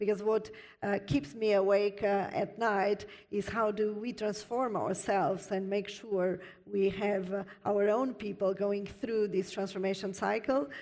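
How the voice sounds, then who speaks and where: A woman with a non-native accent at medium pitch, a fairly slow pace and fairly even intonation, with noticeable background noise. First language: not English. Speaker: panelist, IT industry executive. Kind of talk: panel discussion. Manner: frequent hesitations.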